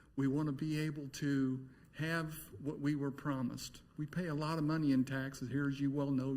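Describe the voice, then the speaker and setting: A man's fairly high-pitched, somewhat breathy voice. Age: 60s. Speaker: resident speaking at public hearing. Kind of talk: public comment at city meeting.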